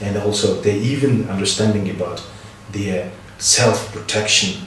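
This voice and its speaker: A man's fairly low voice, with audible room echo and noticeable background noise. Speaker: health project official. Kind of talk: interview. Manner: halting.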